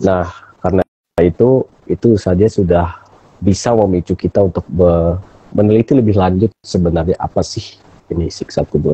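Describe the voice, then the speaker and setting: Very deep and low in pitch, a man talks at a moderate pace with very even loudness, fairly even intonation, a somewhat breathy quality and a dry, close sound with no echo. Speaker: philosophy talk show host. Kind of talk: casual discussion on live stream. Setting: Instagram live stream.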